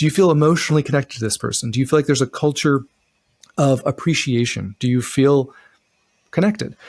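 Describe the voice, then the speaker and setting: Speaking very fast with an American accent, a man uses a fairly high pitch and ordinary pitch variation, yet leaves long, frequent pauses. The sound is dry and close, with no echo. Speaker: relationship podcast co-host. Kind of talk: casual chat. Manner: animated.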